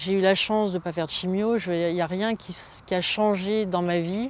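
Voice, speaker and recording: With a fairly low pitch and fairly even intonation, a woman speaks. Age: 60s. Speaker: cancer patient. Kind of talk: testimony. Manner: halting, many fillers.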